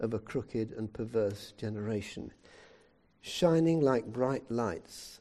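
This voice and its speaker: With a British accent, a man speaks in a dark, mellow tone with very wide pitch swings. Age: 70s. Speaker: preacher. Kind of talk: sermon. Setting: church.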